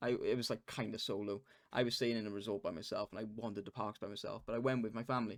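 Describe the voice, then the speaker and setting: A man speaks with a Welsh accent. The recording is very clean, with a silent background. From Wales. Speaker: podcast co-host. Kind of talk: casual chat. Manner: animated.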